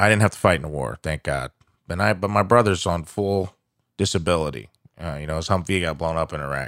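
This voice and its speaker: Over a very clean recording with a silent background, a man talks at a very fast pace with an American accent. His very deep, low voice has vocal fry and lively intonation. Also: dry, close sound with no echo. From Southern Illinois. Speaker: stand-up comedian. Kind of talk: casual chat. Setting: studio.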